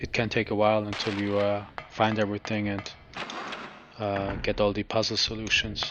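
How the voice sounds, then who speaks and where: A man's fairly low, calm and relaxed voice with a slight German accent, monotone and flat in intonation at a moderate pace, over noticeable background noise. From Germany. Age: 30s. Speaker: video game streamer. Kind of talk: live gameplay commentary. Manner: halting, many fillers; calm, relaxed.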